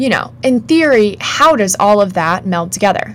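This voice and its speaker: At a moderate pace and medium pitch, a woman talks in an animated tone against noticeable background noise. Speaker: podcast co-host. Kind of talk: casual chat.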